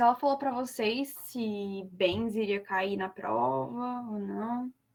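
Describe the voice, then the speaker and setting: A woman speaks with lively intonation. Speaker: law student tutor. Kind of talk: lecture.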